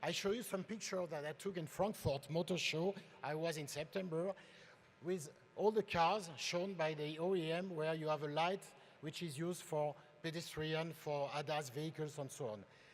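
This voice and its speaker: A man talks in a French accent. His pitch is fairly high, with ordinary pitch variation. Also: moderate pace. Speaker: industry presenter. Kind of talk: conference presentation.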